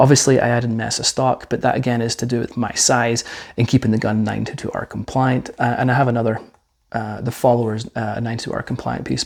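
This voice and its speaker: Over a quiet background, a man talks at a very fast pace in a medium pitch. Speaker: firearms reviewer. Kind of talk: product review. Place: studio. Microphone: lapel.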